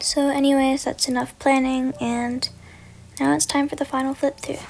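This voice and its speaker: Quiet and monotone, a woman speaks at a high pitch and a moderate pace with flat intonation. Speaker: bullet journal youtuber. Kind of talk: voiceover narration. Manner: casual.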